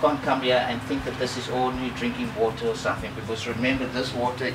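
A man, with music in the background. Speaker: presenter. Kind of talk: tutorial. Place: garden.

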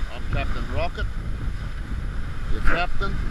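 Loud background noise beneath a male voice, the sound dry and echo-free. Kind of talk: casual vlog chat. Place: boat. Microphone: phone near.

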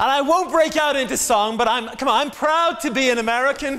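The speaker sounds animated, with ordinary pitch variation. There is noticeable background noise. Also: man. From England. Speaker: guest preacher. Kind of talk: sermon. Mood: jovial, joking. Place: church. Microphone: lapel.

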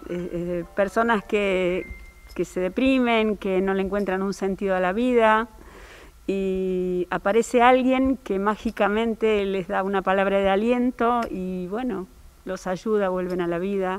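A woman talks very slowly, her pitch sitting in the middle range and moving with ordinary variation. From Río Cuarto, Córdoba, Argentina; Córdoba, Argentina. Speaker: opera singer; actress in the play. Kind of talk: interview. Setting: theatre during rehearsal. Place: stage. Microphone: handheld.

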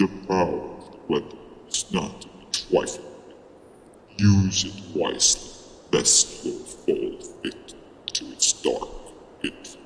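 Over clear background noise, a man speaks at a fairly slow pace. There is a slight echo. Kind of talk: fantasy epic oration. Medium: machinima. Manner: solemn, grave, warning.

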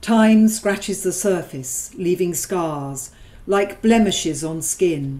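What you hear is plain reading aloud.

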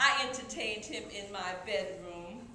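A woman talks at a very slow pace. Her voice carries audible room echo, with light background noise behind it. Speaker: stage performer reciting a monologue. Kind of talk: spoken-word poetry performance, dramatic monologue delivered from memory. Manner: vivid rhythmic storytelling with playful asides; animated, breaks into laughter mid-performance. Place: stage. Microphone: camera far.

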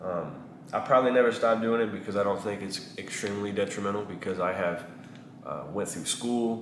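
Speaking at a fairly quick pace in a fairly low pitch, a man with a Texan accent keeps his intonation fairly even over noticeable background noise. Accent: Texan Southern US. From East Texas, US (small town). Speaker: barber and vlogger; vlogger. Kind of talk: casual vlog monologue. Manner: halting with many fillers. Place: shop.

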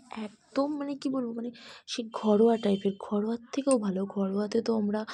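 Her tone is dark and mellow. The woman sounds somewhat breathy. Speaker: lifestyle vlogger. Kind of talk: casual vlog narration. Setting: restaurant. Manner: chatty.

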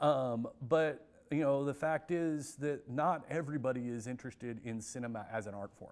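A man with an American accent at a moderate pace, with ordinary pitch variation, big swings in loudness and hardly any pauses. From US Midwest. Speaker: film center director and professor. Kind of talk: interview. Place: hall. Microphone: lapel.

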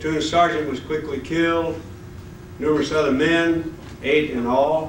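A fairly high-pitched man talks in a monotone, flat intonation. Audible room echo and light background noise come through. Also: fairly slow pace. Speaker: war veteran. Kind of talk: speech at a reunion. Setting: hotel ballroom. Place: hall. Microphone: podium.

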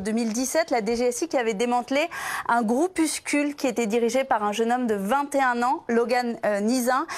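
This woman speaks with a high pitch at a moderate pace. Her pitch variation is ordinary. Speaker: justice journalist. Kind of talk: live news report. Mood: serious, informative. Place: studio. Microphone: lapel.

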